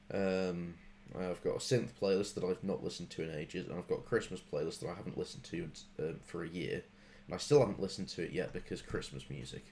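Racing along at a very fast pace, a man speaks with a very deep, low pitch and ordinary pitch variation. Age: 20s. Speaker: comedy podcast host. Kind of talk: casual chat.

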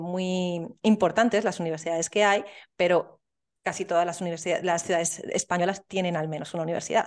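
Against a quiet background, a woman with an ordinary speaking voice and a medium pitch speaks with fairly even intonation. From Spain, Soria. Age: 30s. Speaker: entrepreneur. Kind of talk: interview.

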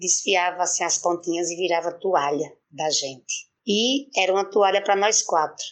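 A woman with a plain, everyday voice speaks at a moderate pace, her fairly low pitch held in fairly even intonation. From Brazil, Pernambuco backlands (Araripe). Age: 50s. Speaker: poet and city councillor. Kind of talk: interview.

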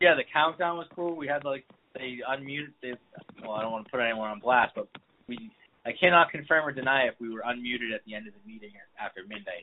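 With an American accent, a man speaks very fast, his loudness swinging a great deal. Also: medium pitch for a man, ordinary pitch variation. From Boston area, Massachusetts. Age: 30s. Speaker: person in recovery, hospital worker. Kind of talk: casual interview chat. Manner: halting, many fillers.

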